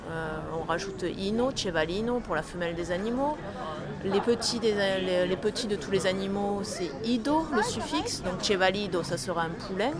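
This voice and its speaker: A woman talks at a fairly slow pace, at medium pitch with ordinary pitch variation. Noticeable background noise and audible room echo are present. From Toulouse, southern France. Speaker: Esperanto association volunteer. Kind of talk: interview. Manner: hesitant, with fillers.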